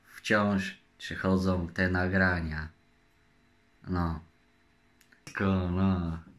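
A man speaks at a very slow pace in a very deep, low voice. His intonation stays monotone and flat. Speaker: vlogger. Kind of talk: casual vlog chat. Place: home room. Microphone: phone near.

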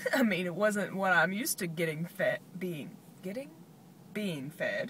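A woman speaks at a fairly slow pace in a bright, sharp tone. The sound is dry with no echo, over light background noise. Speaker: vlogger. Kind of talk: casual vlog chat. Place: car. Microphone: phone near.

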